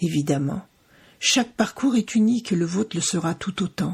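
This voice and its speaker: Somewhat breathy and fairly slow, the voice has lively intonation on a very clean recording with a silent background. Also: woman. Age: 60s. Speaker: podcast host, cancer survivor. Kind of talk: scripted podcast intro. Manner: formal.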